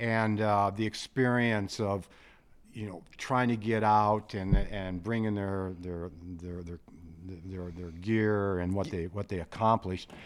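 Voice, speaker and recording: With a slight Midwestern US accent, a man speaks very slowly at a fairly low pitch, his intonation fairly even but his loudness swinging widely, on a very clean recording with a silent background. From South Dakota. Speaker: retired guest hunter. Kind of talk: casual chat. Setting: studio.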